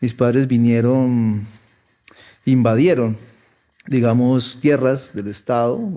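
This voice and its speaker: A man with a dark, mellow tone and medium pitch, very slow with long, frequent pauses and fairly even intonation. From Colombia, Popayán, Cauca (born La Plata, Huila). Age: 40s. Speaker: artist. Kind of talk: interview conversation.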